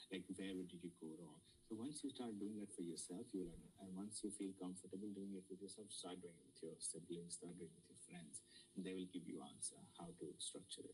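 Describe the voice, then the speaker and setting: With an Indian accent, a man talks at a fairly quick pace in a very deep, low pitch with ordinary pitch variation. His loudness swings widely. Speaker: student mentor. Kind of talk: lecture. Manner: halting.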